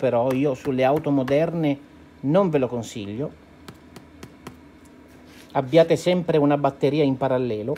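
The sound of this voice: A man speaks with a dark, mellow tone and a fairly high pitch. His pitch varies in an ordinary way, at a moderate pace.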